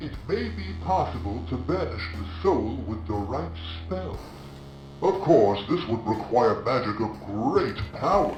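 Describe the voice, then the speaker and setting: Putting on a character voice, a man talks at a fairly slow pace, with slight echo and clear background noise. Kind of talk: dark fantasy narration. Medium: video game. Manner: solemn, portentous.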